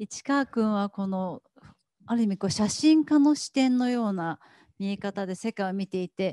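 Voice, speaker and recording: With a dark, mellow tone and lively intonation, a woman speaks at a moderate pace. The sound is dry with no echo, over a quiet background. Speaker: event host. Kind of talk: guided gallery tour interview. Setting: gallery exhibition. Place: hall. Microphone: handheld.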